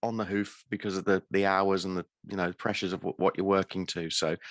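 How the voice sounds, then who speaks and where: The recording is very clean, with a silent background and a dry, close sound with no echo. A man speaks at a fairly low pitch. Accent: British. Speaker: podcast host. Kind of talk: interview.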